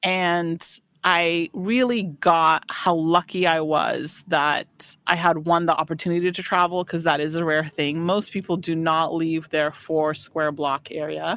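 A woman speaking at a fairly slow pace with hardly any pauses and fairly even intonation, on a very clean recording with a silent background. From US, raised in Afghanistan, Paris, Washington state. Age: 40s. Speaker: boutique owner. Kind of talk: casual interview chat. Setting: studio.

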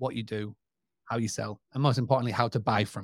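On a very clean recording against a silent background, a man talks in a British accent. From UK. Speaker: website and direct booking expert. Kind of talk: casual interview.

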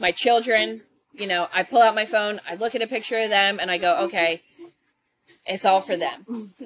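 Speaking at a moderate pace in an American accent, a woman uses a medium pitch with ordinary pitch variation. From Philadelphia, US. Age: 30s. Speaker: veterinary technician. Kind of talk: interview. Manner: hesitant, many fillers.

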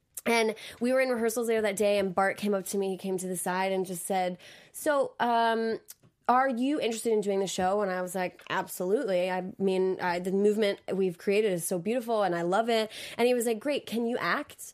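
Ordinary pitch variation and a fairly quick pace from a woman with a medium pitch. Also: very clean recording, silent background. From US South, Georgia. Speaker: dancer and Broadway performer. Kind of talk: casual interview chat. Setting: recorded interview, pre-taped. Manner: fast talker.

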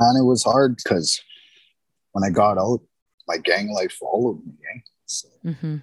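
The sound is dry and close with no echo as a man talks at a moderate pace, leaving long, frequent pauses. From Winnipeg, Manitoba, Canada. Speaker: former offender turned construction supervisor. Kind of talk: interview testimony. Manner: halting, with fillers.

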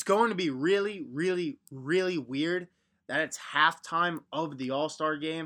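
A man with an American accent in a normal speaking voice, fairly high in pitch with ordinary pitch variation, at a fairly slow pace against a quiet background. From Long Island, New York. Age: 20s. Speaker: sports podcast host. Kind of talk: solo sports commentary podcast. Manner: casual, conversational.

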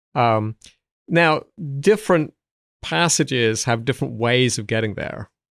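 A man with an American accent speaks at medium pitch and a fairly slow pace, with lively intonation and long, frequent pauses. The recording is very clean with a silent background, and the sound is dry and close with no echo. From south England. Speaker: Old Testament professor and commentary author. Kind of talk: interview conversation. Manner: hesitant, repeats words.

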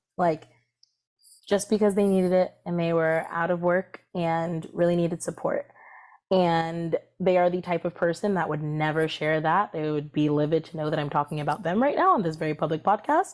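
On a very clean recording with a silent background, a woman with an American accent speaks at a moderate pace. Hers is an unremarkable speaking voice, fairly low in pitch with fairly even intonation. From Maryland, US (Columbia, between Baltimore and DC). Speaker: reproductive justice organizer. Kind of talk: interview.

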